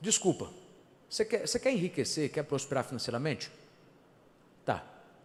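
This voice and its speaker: This man's voice sits fairly high and swings very widely in pitch, with an animated tone. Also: moderate pace. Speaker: pastor. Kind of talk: sermon.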